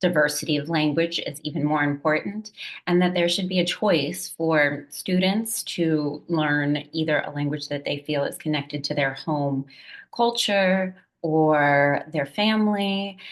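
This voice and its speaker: A woman with a very deep, low pitch talks at a fairly slow pace. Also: ordinary pitch variation. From Puerto Rican raised in US diaspora. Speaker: language educator. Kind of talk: presentation talk.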